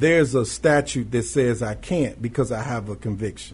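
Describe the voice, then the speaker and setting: Vocal fry runs through the speech of a man who has an American accent. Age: 40s. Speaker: reentry project manager. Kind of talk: radio interview. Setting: studio.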